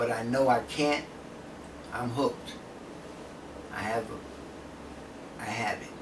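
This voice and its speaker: Amid noticeable background noise and audible room echo, a man speaks at a medium pitch with monotone, flat intonation, a very slow pace and long, frequent pauses. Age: 70s. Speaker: drug user interviewee. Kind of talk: interview.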